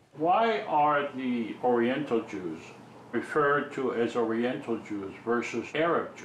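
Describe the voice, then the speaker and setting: Intonation is lively and the pace fairly slow. Loudness swings widely, and room echo is audible. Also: man, medium pitch for a man. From Israel. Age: 60s. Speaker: documentary filmmaker and lawyer.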